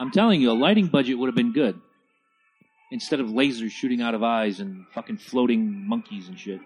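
A man with a medium-pitched voice talks at a fairly quick pace. His pitch swings very widely. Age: 40s. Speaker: podcast co-host. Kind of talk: casual movie commentary. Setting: home studio on couches in front of a TV.

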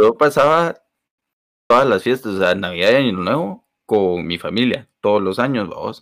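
With a normal speaking voice, a man talks at a fairly slow pace with lively intonation in a very clean recording against a silent background. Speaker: podcast co-host. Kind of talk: casual chat.

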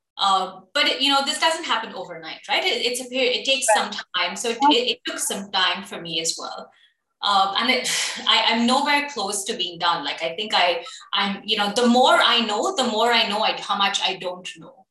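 A woman speaks at a moderate pace with a fairly high pitch. Her intonation is lively, and the room echo is audible. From UAE (Abu Dhabi), Indian-born. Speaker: HR consultant and entrepreneur. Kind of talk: casual interview.

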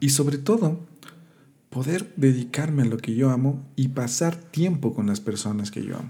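With a dark, mellow tone and medium pitch, a man speaks somewhat breathily at a moderate pace with lively intonation. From Ecuador, Quito. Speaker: podcast host, musician and marketing entrepreneur. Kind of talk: motivational monologue. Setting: solo podcast recording.

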